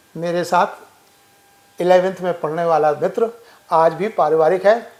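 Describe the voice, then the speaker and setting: The man's voice sits high in pitch, and his intonation stays fairly even. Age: 70s. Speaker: social worker. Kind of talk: interview.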